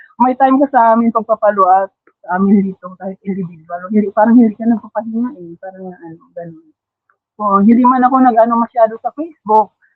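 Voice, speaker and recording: Talking at a very fast pace, a woman uses a fairly high pitch with ordinary variation. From Philippines, Davao region (Mindanao). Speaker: masterclass participant, trainer. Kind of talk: testimony sharing on livestream. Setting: online livestream. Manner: halting, many fillers.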